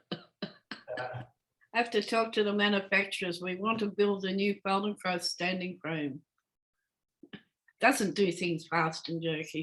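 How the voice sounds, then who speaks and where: An Australian woman, speaking in an Australian accent at a medium pitch, goes at a fairly slow pace with long, frequent pauses. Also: ordinary pitch variation. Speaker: Feldenkrais practitioner. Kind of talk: guided movement lesson. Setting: video call. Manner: calm, slow instructional.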